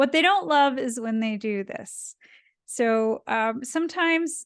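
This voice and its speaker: With a Canadian accent and a plain, everyday voice, a woman talks at a moderate pace with lively intonation over a quiet background. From Canada, Ottawa. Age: 30s. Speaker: cartoonist and science communicator. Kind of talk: illustrated talk. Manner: casual, with fillers.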